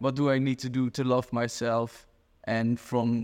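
In a Dutch accent, a man at medium pitch talks at a fairly slow pace with monotone, flat intonation, on a very clean recording with a silent background. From Netherlands. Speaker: e-commerce growth consultant. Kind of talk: casual interview. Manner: hesitant, many fillers.

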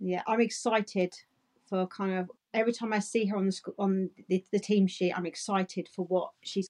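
A woman speaks in a plain, everyday voice at a medium pitch and a moderate pace. Her intonation is fairly even, the sound dry and close with no echo. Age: 30s. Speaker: women's football podcast co-host. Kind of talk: casual chat.

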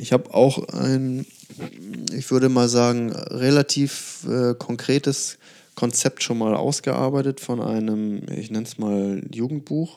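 With a dark, mellow tone and medium pitch, a man talks at a very slow pace with fairly even intonation. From northern Germany, near Hamburg. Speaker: writer. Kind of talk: casual chat.

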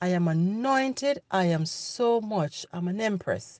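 A woman with an ordinary speaking voice uses a medium pitch and lively intonation, recorded dry and close with no echo. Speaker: podcast host. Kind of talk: motivational monologue. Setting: solo podcast recording. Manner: encouraging, direct.

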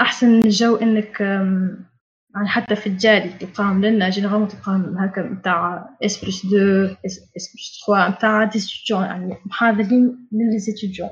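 A woman's medium-pitched voice, monotone and flat in intonation, at a fairly slow pace. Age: 20s. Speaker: engineering student. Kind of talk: casual talk.

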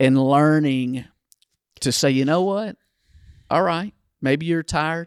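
At a fairly slow pace with long, frequent pauses, a man with a Southern US accent and fairly high pitch keeps very even loudness and ordinary pitch variation in a dry, close sound with no echo. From Kentucky, US. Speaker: pastor. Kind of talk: casual ministry podcast conversation.

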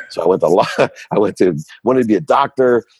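A plain, everyday voice moves at a moderate pace with ordinary pitch variation, captured with a dry, close sound and no echo. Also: man. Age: 50s. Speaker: entrepreneur and CEO. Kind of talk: interview.

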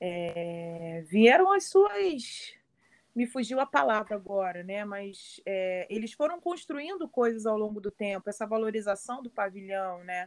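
A woman with an unremarkable speaking voice talks at a medium pitch and a fairly slow pace. Her intonation is lively, and her loudness swings widely. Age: 30s. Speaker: samba school flag bearer. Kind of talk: interview.

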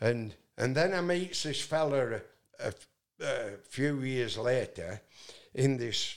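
In a Yorkshire accent, a man talks at medium pitch with lively intonation. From northern England. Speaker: singer-songwriter. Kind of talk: casual interview storytelling. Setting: in-person interview. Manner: loud.

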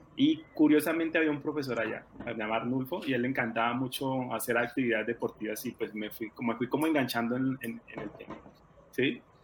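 Fairly quick in pace and fairly even in intonation, this is a plain, everyday voice. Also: man, medium pitch for a man. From Colombia, rural Tolima. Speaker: former track athlete and coach. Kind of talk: interview.

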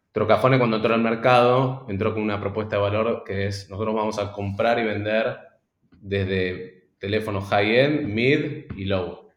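A man with a fairly low pitch talks at a fairly slow pace with fairly even intonation, and audible room echo surrounds his voice. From Argentina. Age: 30s. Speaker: startup founder. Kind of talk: interview. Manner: halting, repeats words.

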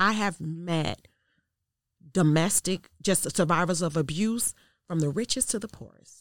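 Speaking at a fairly slow pace, a woman with an American accent and a plain, everyday voice uses ordinary variation around a medium pitch, in a very clean recording with a silent background. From US Midwest, south side of Chicago. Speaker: domestic violence advocate and student success manager. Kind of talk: interview testimony.

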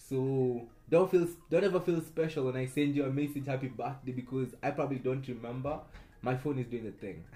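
Somewhat breathy and animated, a man at medium pitch talks at a fairly quick pace with ordinary pitch variation. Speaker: podcast host. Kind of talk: casual monologue.

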